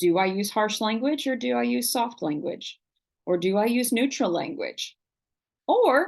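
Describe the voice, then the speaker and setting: A woman with an American accent at a fairly slow pace, very wide pitch swings, and a quiet background. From Oklahoma. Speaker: college writing instructor. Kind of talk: online lecture. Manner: animated.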